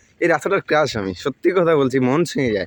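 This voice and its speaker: In a normal speaking voice, a man talks at a fairly high pitch with lively intonation. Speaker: village vlogger. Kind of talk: vlog narration.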